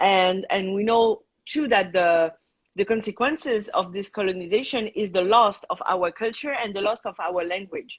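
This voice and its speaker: A woman speaks with a French accent. Her pace is moderate and her pitch variation ordinary. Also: medium pitch for a woman. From Tahiti, French Polynesia. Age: 30s. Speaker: Tahitian dance teacher and cultural center founder. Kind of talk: live interview. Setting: live video stream.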